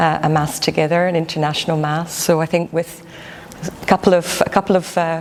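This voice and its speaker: Amid noticeable background noise, a woman with a fairly low pitch speaks at a fairly quick pace in a monotone, flat intonation. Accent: Glasgow. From Scotland, Glasgow. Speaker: church volunteer. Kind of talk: interview.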